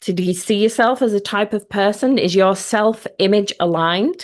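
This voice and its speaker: The background is quiet. A woman speaks at a medium pitch with a Yorkshire accent. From Yorkshire, northern England. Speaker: mindset coach. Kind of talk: online workshop. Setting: live video stream.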